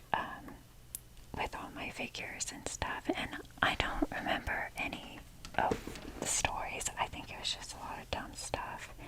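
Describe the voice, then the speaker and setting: Someone whispers at a fairly slow pace, with long, frequent pauses over noticeable background noise. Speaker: ASMR creator. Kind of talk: ASMR whisper talk. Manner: whispering; rambling.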